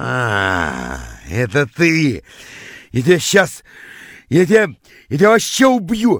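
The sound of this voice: A man's put-on character voice, fairly high in pitch and fairly bright in tone, with big pitch swings and a slow pace, in a very clean recording with a silent background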